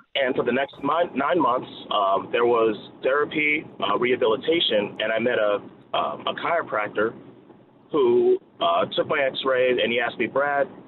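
Over noticeable background noise, a man with an American accent talks at a moderate pace, fairly high in pitch, with lively intonation. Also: very even loudness. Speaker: caller. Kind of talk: testimony. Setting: phone call.

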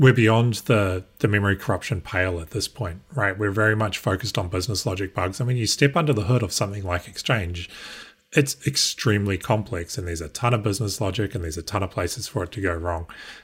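On a very clean recording with a silent background, a somewhat breathy man with a New Zealand accent talks at a very fast pace with ordinary pitch variation. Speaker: guest co-host, security professional. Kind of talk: casual news discussion. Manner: hesitant, frequent repeats and fillers.

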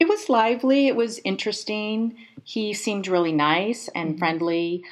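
Speaking at a moderate pace with lively intonation, a woman uses a plain, everyday voice. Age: 50s. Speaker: podcast guest telling dating story. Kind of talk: casual interview storytelling.

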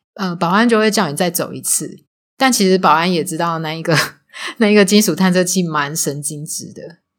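A woman with a Taiwanese accent talks at a fairly quick pace and a fairly low pitch, with ordinary pitch variation and big swings in loudness. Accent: Taiwanese Mandarin. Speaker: former casino supervisor. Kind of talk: casual interview chat.

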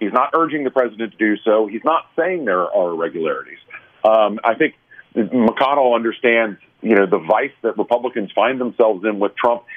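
This is a normal speaking voice from a man at a fairly quick pace. Pitch stays medium and varies in an ordinary way. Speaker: political commentator. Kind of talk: panel discussion.

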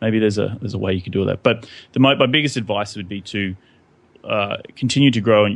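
Speaking with an Australian accent, a man keeps a fairly low pitch and fairly even intonation. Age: 20s. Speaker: real estate investor and podcaster. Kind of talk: casual interview.

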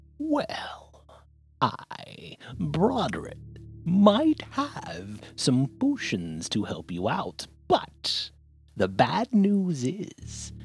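Someone speaks in a put-on character voice at a very slow pace, with faint music in the background. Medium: actual play. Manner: haughty, salesy.

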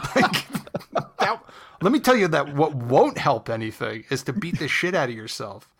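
Here a man with an American accent speaks at a moderate pace. His fairly high pitch swings very widely. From New Jersey. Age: 30s. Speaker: comedian and improviser. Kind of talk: casual chat.

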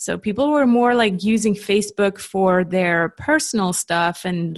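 Against a quiet background, a woman talks at a fairly slow pace in a medium pitch. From Switzerland. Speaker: LinkedIn marketing coach. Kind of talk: interview.

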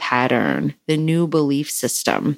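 Her pitch sits very deep and low. This woman speaks in an American accent. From US Midwest, small town in Wisconsin. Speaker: podcast host, spiritual teacher. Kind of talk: spoken monologue on spirituality. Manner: unscripted, flowing.

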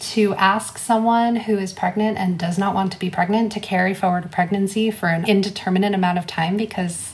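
Pitched at a medium level, a woman talks at a moderate pace with fairly even intonation in an ordinary speaking voice. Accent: American. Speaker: abortion fund director. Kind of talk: interview.

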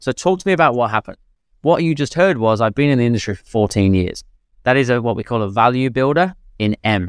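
Very fast and lively in intonation, a man speaks at medium pitch in a dry, close sound with no echo, on a very clean recording with a silent background. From England, Leicester. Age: 40s. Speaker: sales trainer and business founder. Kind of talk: podcast interview.

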